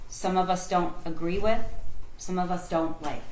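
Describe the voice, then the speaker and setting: A woman talks at a moderate pace with ordinary pitch variation, amid audible room echo and light background noise. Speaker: prosecutor. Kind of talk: courtroom closing argument to a jury. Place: hall.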